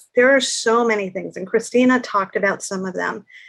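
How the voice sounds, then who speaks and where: The intonation is fairly even. The background is quiet. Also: woman. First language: Spanish. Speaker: panel guest on antisemitism. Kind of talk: panel discussion.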